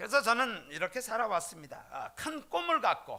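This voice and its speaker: A bright, sharp tone at a fairly slow pace, with lively intonation. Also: man. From South Korea, Jeolla region. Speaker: pastor. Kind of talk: sermon. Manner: frequent filler hesitations.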